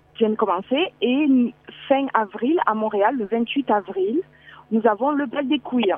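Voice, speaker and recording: A woman's fairly high-pitched, very slow speech with a strong southern French accent and ordinary pitch variation, over noticeable background noise. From southern France. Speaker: breast cancer survivor and advocate. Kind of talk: phone interview. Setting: phone call outdoors at a bus stop.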